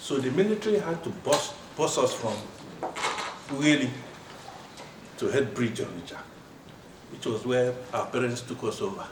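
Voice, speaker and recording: With audible room echo and noticeable background noise, a man speaks fairly high and with very wide pitch swings at a moderate pace, leaving long, frequent pauses. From Nigeria (southeast, Owerri area). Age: 70s. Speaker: retired pathologist, alumnus at reunion. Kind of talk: reunion self-introduction speech.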